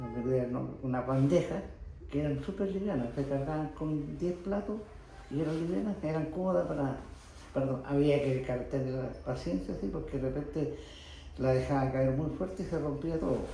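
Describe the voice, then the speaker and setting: With a Chilean accent, a man speaks at a moderate pace in a fairly high pitch with ordinary pitch variation. There is audible room echo and noticeable background noise. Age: 80s+. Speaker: retired pottery factory worker. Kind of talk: oral history interview. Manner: halting, with false starts.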